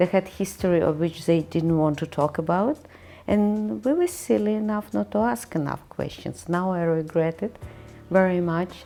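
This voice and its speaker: A woman's fairly low voice, dark and mellow in tone, with lively intonation at a moderate pace. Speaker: apartment resident. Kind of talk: interview. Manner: loud.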